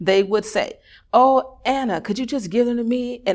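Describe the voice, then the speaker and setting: A woman with an American accent speaks in an ordinary speaking voice, with lively intonation at a moderate pace. The recording is very clean, with a silent background. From Chicago. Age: 30s. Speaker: radio network founder and media artist. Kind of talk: interview chat; personal storytelling read aloud.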